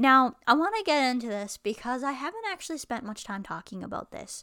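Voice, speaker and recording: An ordinary speaking voice, a woman talks at a fairly quick pace with lively intonation on a very clean recording with a silent background. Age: 20s. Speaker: podcast host with chronic illness. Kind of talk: solo vlog monologue.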